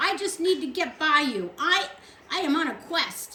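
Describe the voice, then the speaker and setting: A put-on character voice from a woman, extremely high in pitch, at a moderate pace. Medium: read story.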